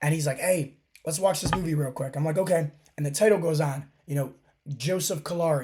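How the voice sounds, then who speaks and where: An animated, somewhat breathy man at a moderate pace, with ordinary pitch variation. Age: 30s. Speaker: fitness coach and podcast host. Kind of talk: motivational podcast monologue.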